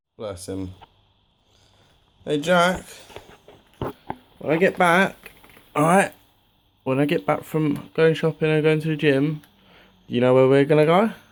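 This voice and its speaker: With an English accent, a man talks at a fairly slow pace in a fairly high pitch, using lively intonation and long, frequent pauses. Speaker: fitness vlogger. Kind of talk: casual vlog talk. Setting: in a shop.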